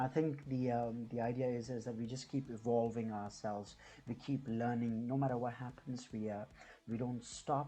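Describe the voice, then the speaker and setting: A man with an Indian accent speaks at a moderate pace in a medium pitch. His tone is dark and mellow, and his intonation stays monotone and flat. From India (New Delhi). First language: Hindi. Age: 30s. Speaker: YouTuber and business owner. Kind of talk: casual vlog introduction. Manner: halting, many fillers and repetitions.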